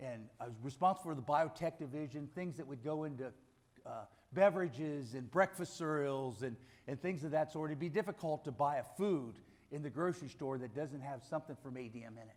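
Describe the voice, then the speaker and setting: Using an unremarkable speaking voice with an American accent, a man talks at a fairly quick pace in a fairly high pitch, with ordinary pitch variation and big swings in loudness. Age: 60s. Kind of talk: testimony.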